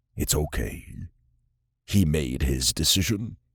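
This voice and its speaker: A man uses a put-on character voice with a very deep, low pitch. He speaks at a fairly slow pace. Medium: read story.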